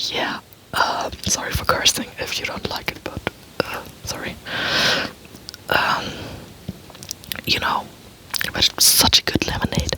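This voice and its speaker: Someone is whispering at a fairly slow pace with long, frequent pauses, over noticeable background noise. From Germany. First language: German. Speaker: ASMR youtuber. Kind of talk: ASMR casual talk. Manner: soft-spoken; halting. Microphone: poor microphone setup.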